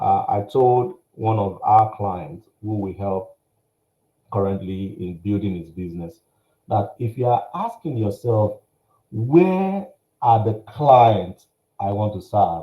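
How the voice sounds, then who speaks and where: A man talks at a very slow pace with a fairly low pitch and lively intonation. His tone is dark and mellow, and somewhat breathy. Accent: Nigerian. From Nigeria. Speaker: workshop speaker, business coach. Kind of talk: workshop presentation. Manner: animated.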